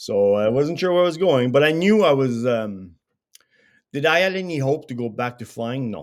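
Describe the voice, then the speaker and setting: Heard on a very clean recording with a silent background, a plain, everyday voice moves at a moderate pace with lively intonation. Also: man, medium pitch for a man. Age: 60s. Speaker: veteran strength and conditioning coach. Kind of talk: casual interview chat.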